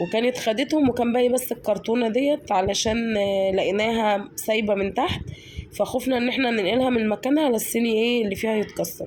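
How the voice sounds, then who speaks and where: A woman's fairly high-pitched voice at a moderate pace, with ordinary pitch variation, very even loudness, hardly any pauses and noticeable background noise. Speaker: home vlogger. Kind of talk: casual vlog narration. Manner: warm, chatty with hesitations.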